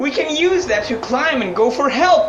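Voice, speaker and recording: A put-on character voice, high in pitch, at a moderate pace, with clear background noise. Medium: audio drama.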